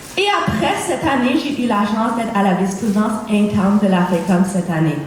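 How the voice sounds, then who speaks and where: The speech moves at a moderate pace with ordinary pitch variation. There is audible room echo and noticeable background noise. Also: woman. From Cape Breton, Nova Scotia, Canada. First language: English (speaking French). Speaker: student election candidate. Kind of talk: campaign debate speech.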